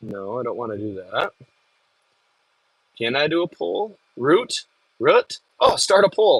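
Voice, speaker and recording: A man with a Midwestern accent speaks at a fairly slow pace, taking long, frequent pauses, with big swings in loudness and a dry, close sound that has no echo. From US Midwest, Michigan. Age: 30s. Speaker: excavator operator streamer. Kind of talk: casual live stream chat.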